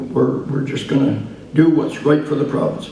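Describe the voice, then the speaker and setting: A man's fairly high-pitched, flat monotone with audible room echo. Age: 70s. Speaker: political party leader. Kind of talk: political speech to audience. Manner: halting, many fillers.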